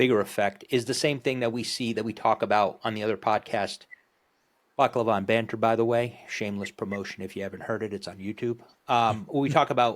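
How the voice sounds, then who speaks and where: A man speaks very fast with a New Jersey accent. His pitch is medium and his intonation fairly even. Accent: East Coast, New Jersey. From northern New Jersey, Morristown. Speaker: podcast host. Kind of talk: casual chat.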